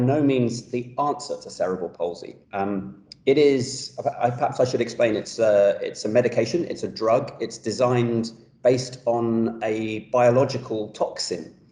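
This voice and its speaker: A man speaks with a London accent in a dark, mellow tone. His voice is somewhat breathy, with ordinary pitch variation. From London, England. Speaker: pediatric orthopedic surgeon. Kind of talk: professional talk show interview.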